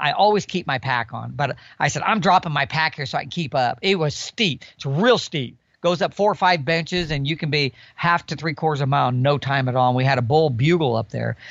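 A man speaks in a normal speaking voice, fairly high in pitch, at a fairly quick pace with ordinary pitch variation. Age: 60s. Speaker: elk hunter. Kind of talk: casual interview chat.

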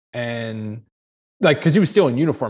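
A man with an American accent speaks in a plain, everyday voice at a medium pitch with ordinary pitch variation, on a very clean recording with a silent background. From US Northeast. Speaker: pilot and aviation career coach. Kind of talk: interview.

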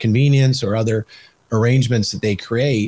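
Speaking at a moderate pace with an American accent, a man with a fairly low, somewhat breathy voice shows ordinary pitch variation in a dry, close sound with no echo. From Michigan. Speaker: podcast host and policy organization leader. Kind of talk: interview. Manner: halting, many fillers and repeats.

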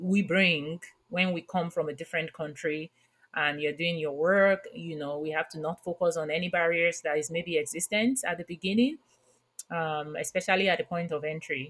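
Pitched fairly low, a woman with a Nigerian accent and a warm tone talks at a moderate pace with ordinary pitch variation. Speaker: podcast host, workplace inclusion consultant. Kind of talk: interview. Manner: warm, laughs often.

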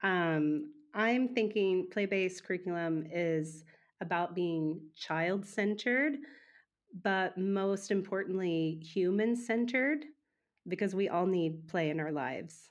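With an American accent, a woman at a medium pitch talks at a very slow pace, her loudness very even and her pitch variation ordinary. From Oklahoma, US. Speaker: music teacher. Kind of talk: interview conversation.

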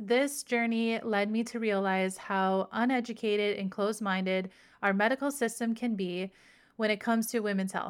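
A woman with an ordinary speaking voice talks at a moderate pace and a fairly high pitch. The recording is very clean, with a silent background. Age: 40s. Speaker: podcast host and mindset coach. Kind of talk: scripted monologue intro; casual interview chat.

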